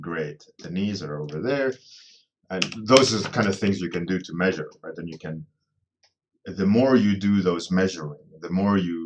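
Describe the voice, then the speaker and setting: Very deep, low male speech whose pitch varies in an ordinary way. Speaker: concept artist live streamer. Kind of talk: live stream drawing tutorial, chatting with viewers. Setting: live online stream. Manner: casual, with fillers.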